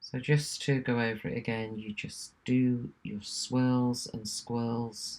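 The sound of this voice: Slowly, a woman speaks at an extremely low pitch with little pitch movement. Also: slightly mellow tone.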